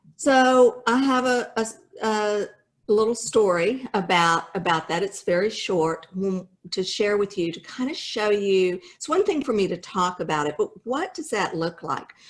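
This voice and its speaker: A woman with a plain, everyday voice speaks at a fairly slow pace in a medium pitch, her intonation lively. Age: 60s. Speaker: home builder company founder. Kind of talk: motivational business talk. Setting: video call.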